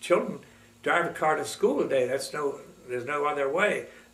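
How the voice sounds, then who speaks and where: A man speaks, and audible room echo surrounds his voice. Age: 90s. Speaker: retired teacher recounting his life. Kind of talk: oral history interview. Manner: halting, many fillers.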